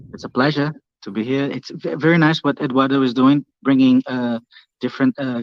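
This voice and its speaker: Speaking with a Portuguese accent, a man uses a medium pitch, a moderate pace and fairly even intonation. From Brazil. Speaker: YouTuber, ocean physics channel. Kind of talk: casual chat.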